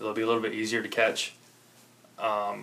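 A man with an American accent, amid noticeable background noise. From Chicago south side suburbs, Illinois. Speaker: angler. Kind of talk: casual chat.

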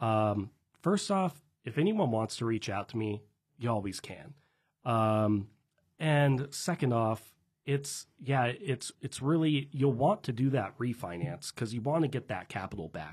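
Against a quiet background, a man with an American accent speaks at a fairly slow pace and medium pitch, somewhat breathy, with lively intonation. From Washington State, Tri-Cities. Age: 20s. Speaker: real estate investor and business owner. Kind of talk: casual interview chat.

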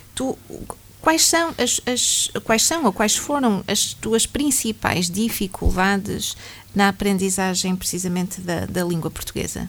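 This woman's voice sits at a medium pitch with lively intonation. She speaks at a fairly slow pace. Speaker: radio host. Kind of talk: radio interview.

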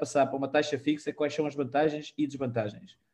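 A man is speaking. His pace is fairly quick. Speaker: mortgage and personal finance show host. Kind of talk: live-streamed casual panel chat. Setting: live online stream. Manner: halting, many repetitions and fillers.

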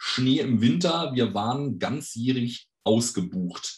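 Somewhat breathy, a man talks at a medium pitch. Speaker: fan website operator and tour guide. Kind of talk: podcast interview.

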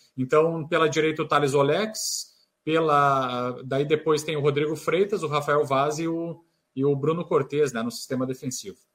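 This is a man with an unremarkable speaking voice pitched fairly high. He keeps a moderate pace and fairly even intonation. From Rio Grande do Sul, Brazil (Santa Maria). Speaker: sports reporter. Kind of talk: radio sports debate.

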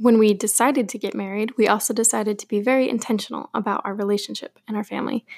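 A woman with an American accent talks at a very fast pace with hardly any pauses. Her delivery is monotone and flat, with vocal fry, in a dry, close sound with no echo. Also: fairly high pitch for a woman. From US Pacific Northwest, Portland, Oregon. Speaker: podcast host. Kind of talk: scripted monologue.

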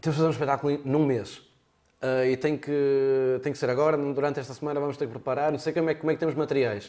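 Very fast, monotone, flat delivery from a man with a fairly high pitch. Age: young. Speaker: storyteller and performer. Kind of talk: casual interview.

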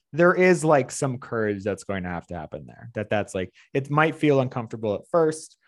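A man's normal speaking voice at medium pitch, fairly quick, with lively intonation and a quiet background. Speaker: fitness trainer. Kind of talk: casual interview.

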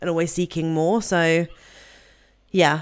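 Speaking fairly quickly with a British accent, a woman uses a fairly low pitch and fairly even intonation. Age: 20s. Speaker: podcast host. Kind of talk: casual interview chat.

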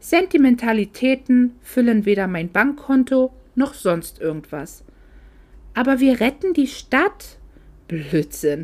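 A woman is speaking. Her pitch swings very widely. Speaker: author reading her own novel aloud. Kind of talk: reading aloud. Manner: unobtrusive voice.

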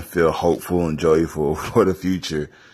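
His pitch very deep and low, a man keeps a moderate tempo and varies his tone in an ordinary way. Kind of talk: casual monologue.

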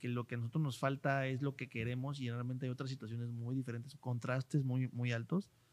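The voice has a Mexican accent. The recording is very clean, with a silent background. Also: man. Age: 30s. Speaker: podcast host, marketing consultant. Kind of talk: casual interview chat.

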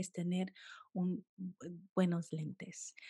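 A woman speaks very slowly in a calm, dark, mellow tone that is somewhat breathy. The sound is dry and close, with no echo. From United States, Colombian-Caribbean family. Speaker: food photographer. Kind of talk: interview.

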